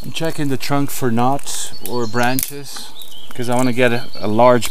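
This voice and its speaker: Male voice at a fairly slow pace, with a dry sound with no echo and noticeable background noise. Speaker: bushcraft vlogger. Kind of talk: casual vlog chat. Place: forest. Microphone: phone near.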